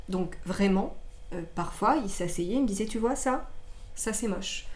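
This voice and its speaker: The intonation stays fairly even at a moderate pace. Some room echo can be heard. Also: woman. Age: 30s. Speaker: singer and actress sharing her life story. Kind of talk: personal testimony in podcast interview. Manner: halting, many hesitations.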